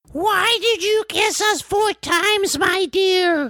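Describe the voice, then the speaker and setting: This put-on character voice is extremely high-pitched and delivered at a very slow pace. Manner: naive, puzzled.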